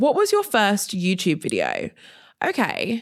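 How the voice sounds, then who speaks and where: A woman talks at a moderate pace on a very clean recording, the background silent. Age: 30s. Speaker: podcast host and content creator. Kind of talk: solo Q&A monologue. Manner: animated.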